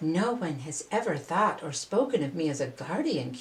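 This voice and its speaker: A put-on character voice at a moderate pace. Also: woman, fairly low pitch for a woman. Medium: read story.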